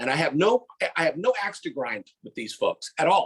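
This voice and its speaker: A man is speaking. His tone is animated. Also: dry, close sound with no echo. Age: 60s. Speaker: podcast co-host. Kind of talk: casual chat. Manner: animated, halting with many repetitions.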